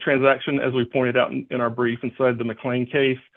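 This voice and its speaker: A man speaks at a medium pitch and a fairly quick pace in a flat monotone. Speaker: lawyer. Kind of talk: courtroom argument. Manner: fast; halting.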